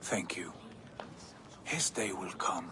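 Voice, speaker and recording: Whispering in a put-on character voice, a man speaks. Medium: video game.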